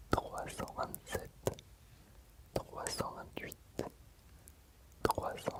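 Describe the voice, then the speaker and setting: The whispering proceeds at a very slow pace. Noticeable background noise can be heard. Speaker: ASMR reader. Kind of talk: sleep story reading from a book. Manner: very soft whisper.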